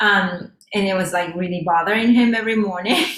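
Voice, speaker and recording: A woman with a Japanese accent at a moderate pace, with audible room echo and noticeable background noise. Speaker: flamenco dancer. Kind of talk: casual interview. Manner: halting.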